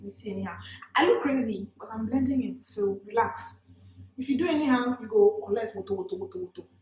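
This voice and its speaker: A very fast, animated voice in a Nigerian accent, with very wide pitch swings and big swings in loudness. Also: woman, high pitch for a woman. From Nigeria, Port Harcourt. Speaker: beauty vlogger. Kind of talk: makeup tutorial with casual chat.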